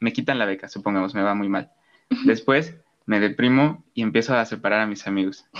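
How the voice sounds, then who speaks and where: A man speaks at a fairly quick pace in an ordinary speaking voice, fairly low in pitch, with ordinary pitch variation over a quiet background. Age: young. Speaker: podcast host. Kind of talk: casual chat.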